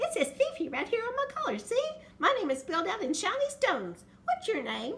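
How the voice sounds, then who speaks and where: A woman's squeaky, put-on character voice, raised and projected, extremely high in pitch with very wide pitch swings, excited in tone and at a fairly quick pace. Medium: read story. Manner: fast, excited.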